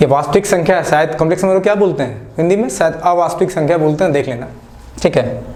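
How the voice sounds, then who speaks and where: A man with a non-native accent speaks at a moderate pace and a fairly high pitch, with ordinary pitch variation. Audible room echo and noticeable background noise surround his voice. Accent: non-native Hindi, self-described. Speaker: maths teacher. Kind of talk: online lecture. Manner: casual, conversational.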